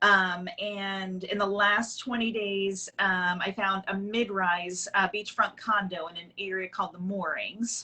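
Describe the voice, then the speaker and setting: A woman speaks with an American accent at medium pitch, fairly slowly, with hardly any pauses. Her intonation is monotone and flat, with noticeable background noise. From Long Island, New York. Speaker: real estate agent. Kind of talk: casual interview.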